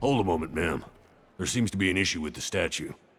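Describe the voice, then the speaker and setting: This is a put-on character voice with a raspy edge. It races along at a very fast pace. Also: man, very deep, low pitch for a man. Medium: video game. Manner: formal, deferential.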